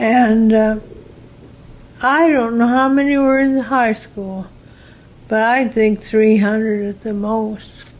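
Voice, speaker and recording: A woman's fairly high voice with an American accent, very slow and fairly even, broken by long, frequent pauses. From US Midwest. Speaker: retired teacher. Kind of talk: oral history interview. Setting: in her room.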